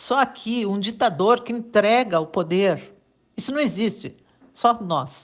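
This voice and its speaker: A woman speaks against a quiet background. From Rio Grande do Sul, Brazil. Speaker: journalist. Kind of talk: political commentary monologue. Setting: WhatsApp voice message.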